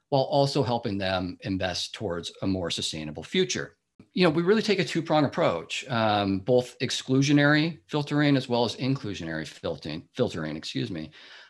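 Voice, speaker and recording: Talking at a fairly quick pace with an American accent, a man has medium pitch, very wide pitch swings, and vocal fry. The background is quiet. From US Pacific Northwest, Seattle area. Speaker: financial services director. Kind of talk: interview. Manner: hesitant, many fillers.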